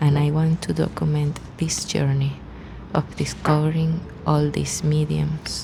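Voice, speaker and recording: The speaker talks fairly slowly with a Spanish accent. Noticeable background noise can be heard. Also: woman. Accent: Spanish-speaking foreign. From Venezuela. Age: 30s. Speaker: artist vlogger. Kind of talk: scripted narration.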